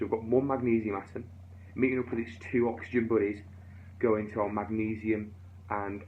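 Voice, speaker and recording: A man speaks at a fairly low pitch in monotone, flat intonation. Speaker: physics teacher. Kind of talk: tutorial. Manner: fast.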